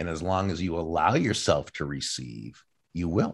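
A man speaks with a very deep, low voice and vocal fry, using ordinary pitch variation against a quiet background. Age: 60s. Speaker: professional speaker and author. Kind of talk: interview conversation.

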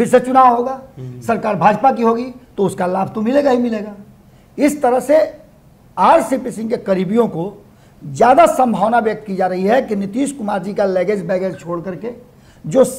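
Pausing long and often, a man with a high pitch speaks at a moderate pace with ordinary pitch variation. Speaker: political commentator. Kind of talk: political analysis.

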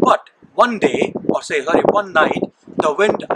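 A man at a fairly slow pace with ordinary pitch variation, amid noticeable background noise. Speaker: church minister. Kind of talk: sermon storytelling. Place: forest.

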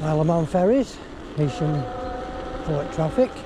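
With clear background noise behind him, a man speaks at a fairly high pitch and a moderate pace, his intonation lively.

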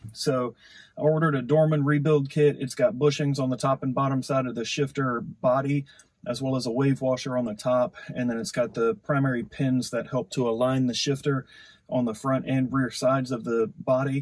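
A man's somewhat breathy voice at a moderate pace, with ordinary pitch variation and a quiet background. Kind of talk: tutorial. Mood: relaxed, friendly. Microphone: camera far.

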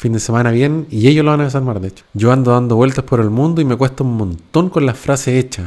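Against a quiet background, a man with a Chilean accent speaks at a very fast pace with hardly any pauses and ordinary pitch variation. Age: 40s. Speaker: YouTuber; podcast host. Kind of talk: casual monologue. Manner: casual, slangy. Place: home room. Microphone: close to the mic; studio mic.

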